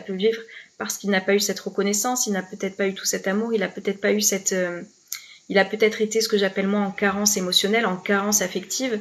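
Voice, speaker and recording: Monotone, flat intonation at a very fast pace. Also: woman. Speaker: life coach. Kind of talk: live stream talk to viewers. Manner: hesitant, many fillers and repeats.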